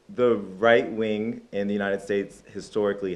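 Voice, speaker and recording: A man speaks with a New York accent. His voice is fairly low and his pace fairly quick. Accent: New York American. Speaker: content creator. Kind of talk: casual interview chat. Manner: animated.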